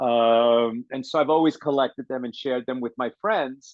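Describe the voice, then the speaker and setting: A man of medium pitch speaks at a moderate pace with fairly even intonation in an unremarkable speaking voice. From born in Chile, raised in the US from age five. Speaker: author and film director. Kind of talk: radio interview.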